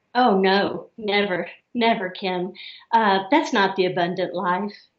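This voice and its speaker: A woman speaks fairly slowly at a medium pitch, with ordinary pitch variation and a slight Southern US accent. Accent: slight Southern drawl. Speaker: therapist. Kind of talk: interview.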